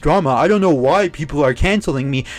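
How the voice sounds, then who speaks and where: Shouting loudly, a man speaks at a fairly quick pace with lively intonation. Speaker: YouTube commentator. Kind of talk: commentary rant. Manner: loud, yelling; animated.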